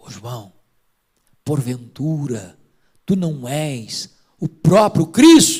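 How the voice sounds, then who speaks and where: A man puts on a character voice at a fairly high pitch, with hissing in the sound. He speaks very slowly with long, frequent pauses. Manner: hissing, seductive.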